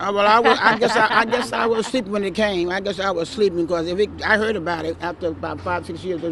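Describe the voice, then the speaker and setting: With a New York accent, a woman rattles along at a very fast pace with hardly any pauses, medium in pitch with ordinary pitch variation. Noticeable background noise sits behind her. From New York City, Brooklyn. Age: 70s. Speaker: retired nurse, neighborhood local. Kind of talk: casual street interview. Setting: outdoors on a city street stoop. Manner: halting, repeats words.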